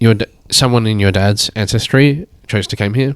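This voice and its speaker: With an Australian accent, a man talks at a fairly slow pace and fairly low pitch, his intonation fairly even and the sound dry and close with no echo. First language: Chinese. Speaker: painter and artist. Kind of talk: casual chat.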